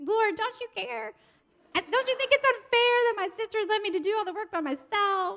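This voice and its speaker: A woman puts on a whiny character voice at an extremely high pitch. Her intonation is lively and her pace moderate. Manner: whiny, complaining.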